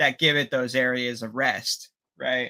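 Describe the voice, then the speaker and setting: At a fairly slow pace, a speaker with a slight Pittsburgh accent is heard in a very clean recording over a silent background. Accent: bit of Pittsburgh. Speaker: 3D sculptor, co-host. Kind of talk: casual chat on live stream. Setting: live stream from outside the studio. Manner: halting, many fillers.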